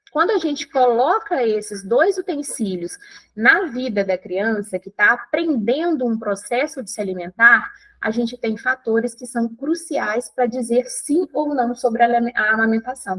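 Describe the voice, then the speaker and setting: With a high pitch and lively intonation, a woman speaks at a moderate pace in a dry, close sound with no echo. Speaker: breastfeeding educator. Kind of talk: online course lecture.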